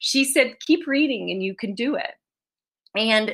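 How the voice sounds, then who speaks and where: Bright and sharp in tone, a woman speaks with an American accent. Her intonation is lively. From US South, East Tennessee. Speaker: children's author. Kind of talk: author talk. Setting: video call.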